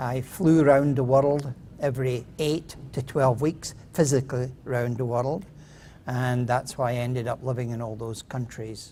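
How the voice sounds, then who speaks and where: The speaker talks at a moderate pace in a Scottish accent. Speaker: inventor pitching a product. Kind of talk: contest pitch presentation. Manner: hesitant, with fillers.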